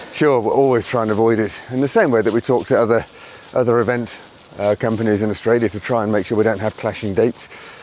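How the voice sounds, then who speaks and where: A man's medium-pitched voice at a very fast pace, fairly even in intonation, with noticeable background noise. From England, Birmingham. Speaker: fitness event organiser. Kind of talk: podcast interview.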